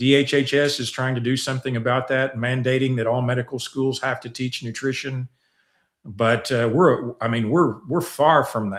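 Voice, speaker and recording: With fairly even intonation, a man speaks at a medium pitch and a moderate pace. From US South. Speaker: scientist and nutrition researcher. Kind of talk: interview. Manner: halting, repeats words.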